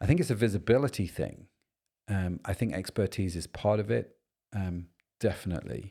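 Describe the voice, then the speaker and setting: A man with a British accent speaks at a moderate pace in a fairly low pitch with ordinary pitch variation. The recording is very clean, with a silent background. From Britain. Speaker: podcast host. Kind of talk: casual chat.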